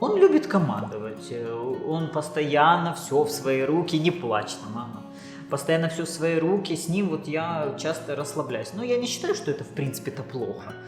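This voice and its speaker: A woman speaks at a moderate pace in a very deep, low voice, with lively intonation. Music plays in the background. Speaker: Instagram blogger, TV show participant. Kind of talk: interview answer.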